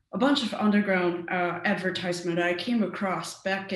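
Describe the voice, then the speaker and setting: A woman at a medium pitch with a Mandarin accent, at a fairly slow pace, amid audible room echo and noticeable background noise. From Taiwan. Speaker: cybersecurity researcher. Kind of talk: conference talk. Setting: virtual meetup. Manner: hesitant with frequent fillers.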